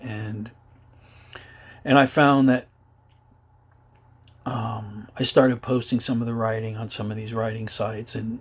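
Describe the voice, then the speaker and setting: The voice is somewhat breathy, with monotone, flat intonation and a fairly slow pace. Loudness swings widely, and long pauses come often. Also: man, medium pitch for a man. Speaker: adult survivor of childhood abuse. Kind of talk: personal testimony to camera. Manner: hesitant, halting.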